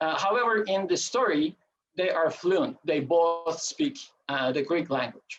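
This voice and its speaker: Speaking fairly slowly with a Turkish accent, a man keeps a high pitch, lively intonation and very even loudness. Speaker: coin collector and presenter. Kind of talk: lecture. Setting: video call. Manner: halting, many filler sounds.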